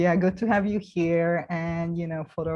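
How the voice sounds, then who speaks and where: Very deep, low-pitched speech from a woman with a non-native accent, dark and mellow in tone, at a moderate pace. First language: not English. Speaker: round table host, healer. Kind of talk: panel discussion.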